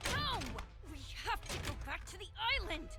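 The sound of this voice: A cartoonish character voice comes through over loud background noise. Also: moderate pace.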